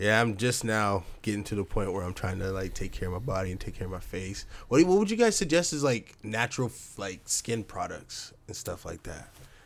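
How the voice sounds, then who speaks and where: With a plain, everyday voice, a man speaks fairly quickly in a fairly low pitch, using lively intonation and big swings in loudness. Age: 20s. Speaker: podcast host. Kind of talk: casual chat.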